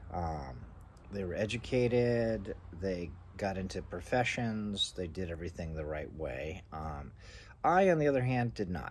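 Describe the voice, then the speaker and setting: Somewhat breathy, a man speaks in a very deep, low voice with lively intonation. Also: fairly slow pace. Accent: American. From US East Coast. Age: 60s. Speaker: vlogger. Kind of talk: personal monologue. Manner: halting.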